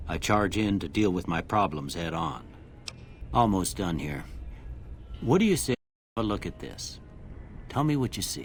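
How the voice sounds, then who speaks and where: A man puts on a drawling character voice in a Western US accent, very deep and low, with very wide pitch swings. He keeps a moderate pace with long, frequent pauses while music plays in the background. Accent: rural Western drawl. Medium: video game. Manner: folksy, drawling.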